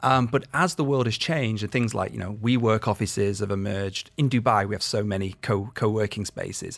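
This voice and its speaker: In a very clean recording with a silent background, a man with a British accent talks fairly quickly at a fairly low pitch with ordinary pitch variation. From UK. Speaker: education director. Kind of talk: radio interview.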